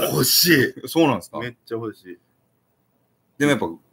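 A man is speaking. His pace is fairly quick. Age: 30s. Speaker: YouTuber. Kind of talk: casual livestream chat. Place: home room. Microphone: webcam.

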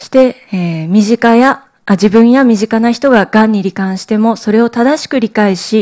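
A woman speaks at a moderate pace with a fairly high pitch and ordinary pitch variation. The background is quiet. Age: 30s. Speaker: cancer survivor and cancer education advocate. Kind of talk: lecture. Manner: formal. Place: hall. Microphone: podium.

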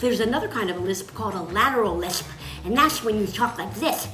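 A woman talks at a fairly quick pace, with audible room echo and clear music in the background. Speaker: voice actor giving tips. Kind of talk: tutorial. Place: home room. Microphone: phone near.

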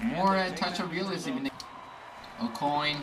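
Over light background noise, the voice sounds hoarse and strained. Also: man. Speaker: gaming YouTuber. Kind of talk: gameplay commentary, live play-by-play. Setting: home recording over gameplay. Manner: excitable, reactive, exclaiming as plays unfold; hoarse, strained delivery, disappointed at goals against. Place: home room.

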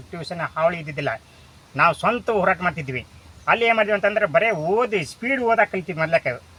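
A man's raised, projected voice, high in pitch, with lively intonation. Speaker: retired commerce professor. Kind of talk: interview.

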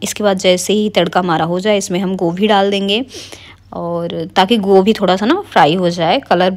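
Over a quiet background, a woman speaks at a fairly slow pace with fairly even intonation. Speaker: home cooking vlogger. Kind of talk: casual vlog chat with cooking tutorial. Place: kitchen. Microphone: phone near.

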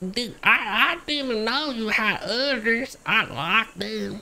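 A female-sounding voice with a fairly high pitch goes at a very slow pace in a put-on character voice. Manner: stammering, naive.

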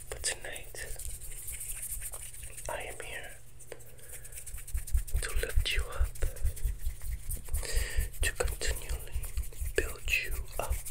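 A man is speaking. He is soft-spoken. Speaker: ASMR host. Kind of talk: soothing ASMR affirmation talk. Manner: soft, slow, intimate ASMR voice. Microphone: earbuds.

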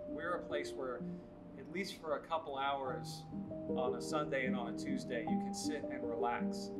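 Loud background music accompanies a man talking at a moderate pace. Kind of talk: interview answer. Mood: earnest, warm. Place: hall. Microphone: lapel.

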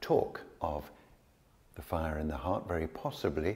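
A man talks at a fairly slow pace in a very deep, low voice. His delivery is somewhat breathy. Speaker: yoga teacher. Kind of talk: tutorial. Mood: calm, gentle. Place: studio. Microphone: lapel.

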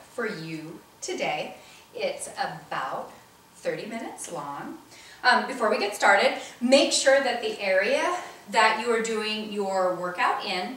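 Long, frequent pauses break up a woman's fairly slow, lively-intoned speech, heard with audible room echo. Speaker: fitness instructor. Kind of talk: workout intro instructions. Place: home room. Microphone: camera far.

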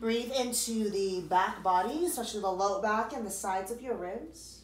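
In a room with audible echo, a woman speaks at a moderate pace and medium pitch, with ordinary pitch variation.

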